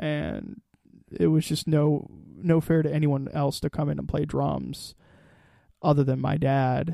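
Leaving long, frequent pauses, a man speaks at a fairly slow pace with a fairly high pitch and a dark, mellow tone. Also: ordinary pitch variation. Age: 20s. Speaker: musician, drummer and singer in a band. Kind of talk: casual interview chat.

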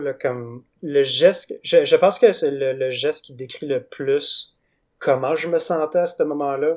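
A man speaks with a Quebec accent at a fairly high pitch. His intonation stays fairly even, and the recording is very clean with a silent background. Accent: Québécois French. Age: 20s. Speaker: comic book artist. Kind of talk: interview. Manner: halting.

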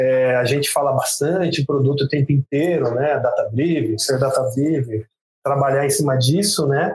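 Keeping his loudness very even, a man with a fairly high voice speaks at a moderate pace with ordinary pitch variation. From rural São Paulo state, Brazil. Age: 30s. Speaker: product manager. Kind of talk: interview. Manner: halting, many fillers.

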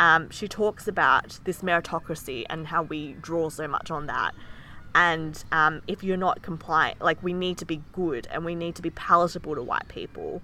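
With an Australian accent and a bright, sharp tone, a woman speaks at a moderate pace, her pitch fairly low and her intonation fairly even. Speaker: podcast co-host. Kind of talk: casual chat.

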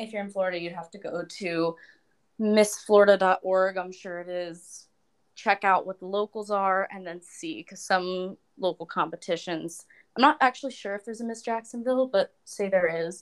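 An ordinary speaking voice from a woman at medium pitch and moderate pace, ordinary pitch variation and big swings in loudness, on a very clean recording with a silent background. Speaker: opera and pop singer, beauty pageant titleholder. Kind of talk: casual chat.

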